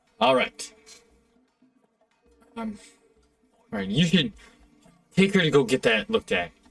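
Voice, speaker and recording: A man puts on a high-pitched character voice, recorded dry and close with no echo, while faint music plays in the background. He keeps a moderate pace with long, frequent pauses. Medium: actual play. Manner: hesitant then excited.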